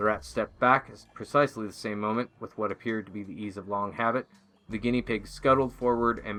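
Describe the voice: The speaker does plain reading aloud, keeping the intonation fairly even.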